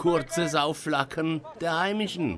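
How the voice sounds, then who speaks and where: Against noticeable background noise, a man talks in a playful tone at a very slow pace with a high pitch. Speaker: sports commentator. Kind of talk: live-style sports commentary over match highlights. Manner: punchy, colloquial, playful.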